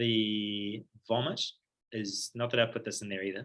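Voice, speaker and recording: With a New Zealand accent, a man talks in a fairly low pitch and fairly even intonation. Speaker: paediatric surgery registrar. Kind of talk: lecture. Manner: fast; casual, filler-heavy.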